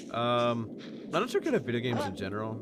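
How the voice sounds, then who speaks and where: Through noticeable background noise, a man at medium pitch speaks with lively intonation. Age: 20s. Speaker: streamer. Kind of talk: casual chat.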